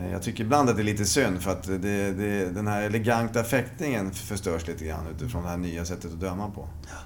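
This man has a normal speaking voice with a fairly low pitch and ordinary pitch variation. He talks at a fairly quick pace with hardly any pauses. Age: 50s. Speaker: veteran fencer. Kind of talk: interview.

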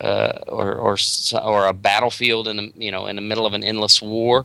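In a very clean recording with a silent background, a man with an American accent talks in a bright, sharp tone with monotone, flat intonation. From US South, North Carolina. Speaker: comic book writer. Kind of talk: casual interview. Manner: halting, many fillers and repeats.

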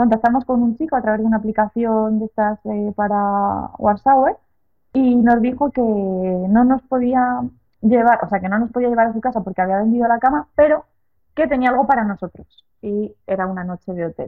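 A woman with an unremarkable speaking voice talks at a moderate pace, her fairly high pitch carrying ordinary pitch variation. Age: 30s. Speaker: long-distance cycle traveller. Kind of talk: interview.

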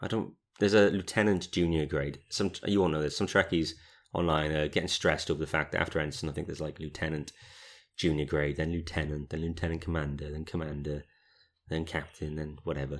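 In a slight British accent, a man talks at a very fast pace with a very deep, low pitch and fairly even intonation. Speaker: podcast co-host. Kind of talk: casual chat podcast discussion. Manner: chatty, joking.

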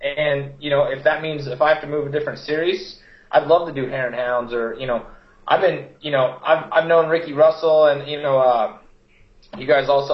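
A somewhat breathy man at a moderate pace. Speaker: off-road racer. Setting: video call.

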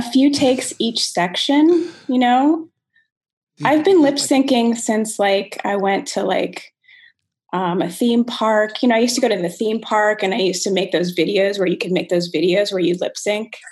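A woman speaks in an ordinary speaking voice, pitched fairly high. Her pace is moderate and her intonation lively. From Rockville, Maryland. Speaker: comedian. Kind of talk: casual chat.

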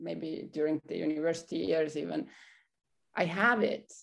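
A woman with a non-native accent speaks with ordinary pitch variation on a very clean recording with a silent background. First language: not English. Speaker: coaching program graduate. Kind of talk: personal testimony. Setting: studio. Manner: halting, many fillers.

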